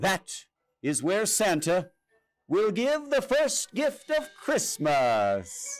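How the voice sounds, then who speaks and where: A man puts on a character voice with a high pitch. He talks at a very slow pace. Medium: read story. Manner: calm, assured.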